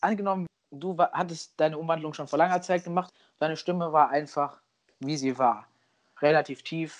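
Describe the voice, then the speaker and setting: A man's high-pitched voice at a moderate pace against a quiet background. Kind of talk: casual chat.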